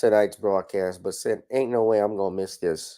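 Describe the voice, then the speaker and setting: On a very clean recording with a silent background, a man speaks at a moderate pace in a dark, mellow tone with ordinary pitch variation. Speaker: lawyer and commentary show host. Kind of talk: livestream commentary. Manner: yawning, casual.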